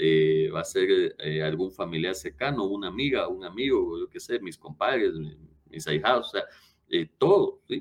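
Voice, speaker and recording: A man talks at a moderate pace. His loudness swings in big ways. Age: 30s. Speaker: lawyer and former prosecutor. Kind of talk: interview.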